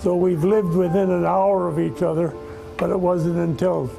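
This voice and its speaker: Music plays behind a man with a high pitch who speaks at a moderate pace with fairly even intonation. The room has an audible echo. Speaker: war veteran. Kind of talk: interview.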